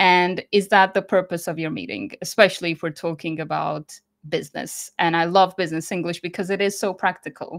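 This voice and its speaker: A woman with vocal fry talks in a fairly low pitch and fairly even intonation. Her recording is very clean, with a silent background. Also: fairly quick pace. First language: Croatian. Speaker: business English educator. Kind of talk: interview.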